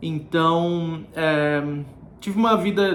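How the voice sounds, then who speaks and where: A man speaks at a high pitch with fairly even intonation. Room echo is audible. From Brazil, Florianópolis (Santa Catarina). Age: 30s. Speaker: vlogger. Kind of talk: casual vlog talk to camera.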